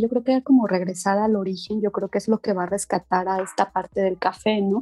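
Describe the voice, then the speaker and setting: There is noticeable background noise as a woman talks very fast in a dry, close sound with no echo. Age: 40s. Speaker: coffee enthusiast. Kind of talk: casual interview.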